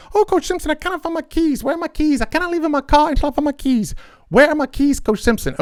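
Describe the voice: In a put-on character voice with a Zambian accent, the speaker goes at a very fast pace with a high pitch.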